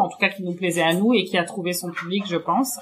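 A woman's fairly low voice at a fairly quick pace, with noticeable background noise behind it. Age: 30s. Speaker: chocolate maker and shop co-founder. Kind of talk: interview. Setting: in her chocolate workshop. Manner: hesitant, many fillers.

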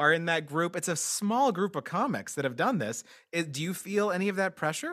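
Lively intonation marks a man's speech in a very clean recording with a silent background. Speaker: comedian podcast host. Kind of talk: casual interview chat. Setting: studio. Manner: animated, high-energy.

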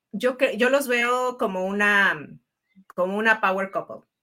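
Very clean recording with a silent background: a woman at medium pitch, bright and sharp in tone, very slow, with ordinary pitch variation. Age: 40s. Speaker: podcast host. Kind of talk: interview conversation.

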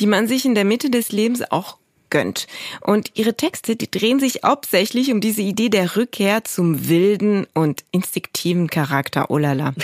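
A woman with an ordinary speaking voice talks at a moderate pace. Her medium-pitched delivery has lively intonation. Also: very even loudness. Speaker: podcast host. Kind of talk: scripted presenting.

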